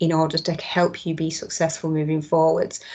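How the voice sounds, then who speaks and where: A woman speaks with a Mancunian accent. Her pace is fairly quick. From Manchester, northern England. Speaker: tech company trainer presenting skills resources. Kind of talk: online presentation with demo. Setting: video call. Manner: casual, with frequent fillers.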